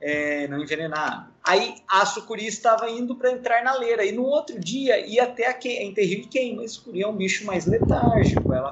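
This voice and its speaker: Lively intonation over music in the background. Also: man. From Ubatuba, São Paulo coast, Brazil. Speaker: biologist, wildlife rescue. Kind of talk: casual interview.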